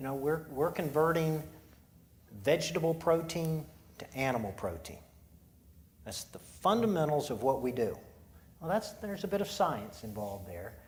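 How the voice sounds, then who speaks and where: With an American accent and a fairly high pitch, a man moves at a moderate pace through very wide pitch swings, big swings in loudness and long, frequent pauses, with audible room echo around him. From Eastern Shore of Maryland (Salisbury). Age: 60s. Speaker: poultry company executive. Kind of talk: onstage interview.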